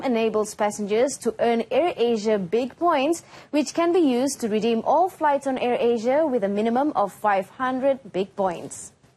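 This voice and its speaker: Pitched high, a woman's voice carries a dark, mellow tone, ordinary pitch variation and a moderate pace. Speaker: television news presenter. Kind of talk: TV news broadcast reading. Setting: studio.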